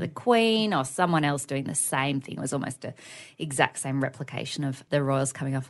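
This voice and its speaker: Against a quiet background, a woman talks at a fairly quick pace. She has an Australian accent and lively intonation. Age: 30s. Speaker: podcast co-host. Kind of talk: casual chat.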